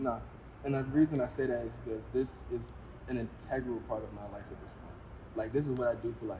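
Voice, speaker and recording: A man speaks at a fairly quick pace with long, frequent pauses, fairly even intonation, and big swings in loudness. Audible room echo and noticeable background noise are present. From Richmond, Virginia. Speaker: rapper and singer. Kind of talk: casual interview.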